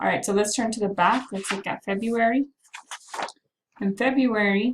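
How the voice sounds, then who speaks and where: Her voice is fairly high-pitched and somewhat breathy. The woman keeps a moderate pace with fairly even intonation. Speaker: math teacher. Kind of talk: recorded class announcement. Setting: self-recorded video while away from class.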